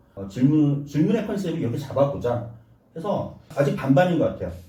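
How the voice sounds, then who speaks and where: A man talks at a fairly quick pace. Audible room echo and noticeable background noise surround him. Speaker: YouTuber and producer being interviewed. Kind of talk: interview.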